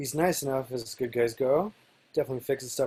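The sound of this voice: The voice is an unforced reading voice. It stays that way throughout.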